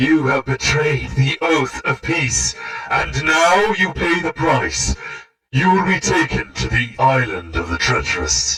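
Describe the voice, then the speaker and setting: At a fairly slow pace, the man performs in a put-on character voice. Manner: threatening, accusing.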